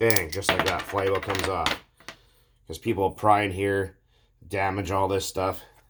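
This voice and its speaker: Long, frequent pauses at a moderate pace over noticeable background noise. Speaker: DIY mechanic video maker. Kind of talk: tutorial. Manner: casual, with fillers.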